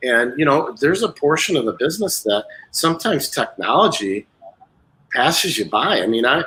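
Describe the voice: The voice has a bright, sharp tone with a husky, rough edge, big pitch swings and a moderate pace. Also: man, medium pitch for a man.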